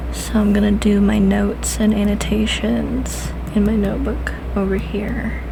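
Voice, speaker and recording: A soft-spoken woman with a very deep, low pitch, a calm tone and monotone, flat intonation, at a moderate pace amid noticeable background noise. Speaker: booktuber. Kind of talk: casual talk to camera. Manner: soft-spoken, calm.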